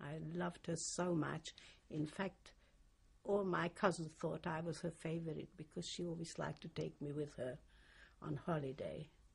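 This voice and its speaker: A woman speaks at a moderate pace with fairly even intonation. Her pitch is very deep and low, with vocal fry. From Hungary. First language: Hungarian. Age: 60s. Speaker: Holocaust survivor. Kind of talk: oral history interview. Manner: halting.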